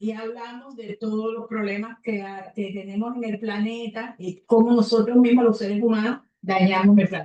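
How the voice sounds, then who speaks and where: A woman with a dark, mellow tone talks in a fairly high pitch at a moderate pace. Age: 70s. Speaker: communications specialist and radio host. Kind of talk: closing remarks at a meeting.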